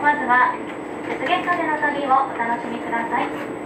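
A woman speaks with ordinary pitch variation. Loud background noise fills the recording. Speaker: train crew announcer. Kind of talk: onboard announcement. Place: train. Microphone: pa.

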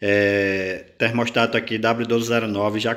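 A man's medium-pitched voice in a monotone, flat delivery, with noticeable background noise. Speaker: small breeder and incubator parts seller. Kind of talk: sales pitch reading out a price list item by item. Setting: video recording for online channel. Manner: urgent, pushing viewers to hurry.

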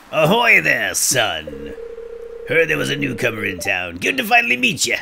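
A man speaks in a put-on character voice at a moderate pace. Background noise is clearly audible. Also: fairly high pitch for a man. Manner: friendly, welcoming.

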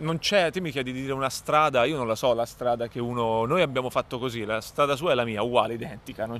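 A man talks very fast at a medium pitch. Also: dry sound with no echo. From Tuscany, Cecina; Tuscany. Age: 30s. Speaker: comedian. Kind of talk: interview. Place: hall.

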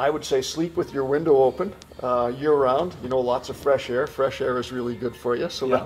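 A man in a Canadian Prairie accent speaks at a fairly quick pace with fairly even intonation. Light background noise is present. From rural Manitoba, Canada. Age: 60s. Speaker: car dealership owner; interviewee. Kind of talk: interview; interview answer. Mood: warm, relaxed. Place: office. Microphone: camera far.

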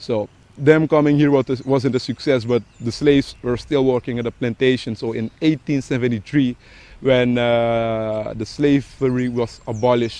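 A man speaks at a moderate pace in a dark, mellow tone. His intonation stays fairly even, and the sound is dry with no echo. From Suriname. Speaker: tour guide. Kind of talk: history explanation. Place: garden.

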